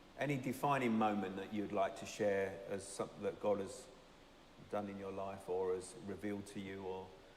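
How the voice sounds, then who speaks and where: A man with a fairly low pitch talks at a moderate pace amid noticeable background noise and audible room echo. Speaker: church leader interviewing members. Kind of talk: church interview.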